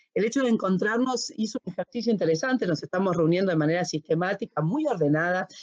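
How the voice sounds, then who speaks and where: An ordinary speaking voice from a woman at medium pitch, fairly quick and lively in intonation, with a dry, close sound with no echo. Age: 50s. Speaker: HR and organizational consultant. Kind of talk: casual chat. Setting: recording from home.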